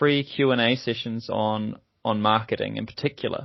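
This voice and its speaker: The speaker is a man. He has a New Zealand accent. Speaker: podcast host, software company executive. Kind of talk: podcast conversation. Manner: hesitant, with fillers and repetitions.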